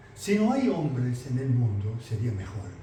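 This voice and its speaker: A man speaks at a fairly slow pace, his pitch swinging very widely. Noticeable background noise and audible room echo fill the recording. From Italy. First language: Italian (speaking Spanish). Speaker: mycologist lecturer. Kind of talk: lecture.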